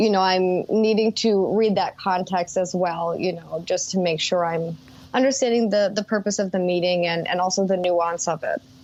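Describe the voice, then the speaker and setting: A woman with an American accent talks in a normal speaking voice at a medium pitch and a moderate pace, with very even loudness. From US Midwest, Minnesota. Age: 30s. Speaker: executive assistant. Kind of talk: interview conversation.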